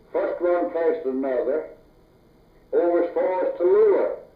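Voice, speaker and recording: A man in an American accent talks at a fairly slow pace while noticeable background noise continues. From North Louisiana, USA. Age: 80s+. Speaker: farmer, logger, former deputy sheriff. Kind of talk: oral history interview answer.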